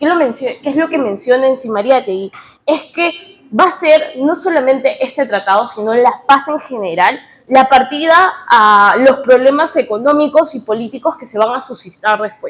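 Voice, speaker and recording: This woman's high-pitched voice moves with lively intonation at a moderate pace. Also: big swings in loudness. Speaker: political science student presenter. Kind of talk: seminar presentation. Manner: halting.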